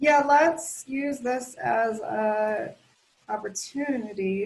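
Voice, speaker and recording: A woman speaks very slowly in a somewhat breathy voice with ordinary pitch variation. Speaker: county planning staff presenter. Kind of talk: online meeting presentation.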